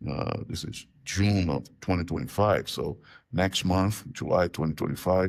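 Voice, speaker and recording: A man's very deep, low voice on a very clean recording with a silent background. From Brazil, Rio de Janeiro. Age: 60s. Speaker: professor of religion. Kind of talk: interview, casual conversation.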